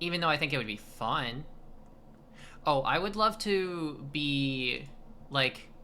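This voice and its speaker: A woman speaks at a very slow pace with long, frequent pauses and a very deep, low pitch. Her tone is bright and sharp, her intonation lively, and the room echo is audible. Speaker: streamer. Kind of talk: casual chat. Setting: live stream. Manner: halting.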